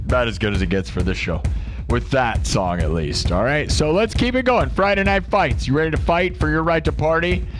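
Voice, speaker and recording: A man's voice at a fairly quick pace with very even loudness, music in the background. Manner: energetic show host.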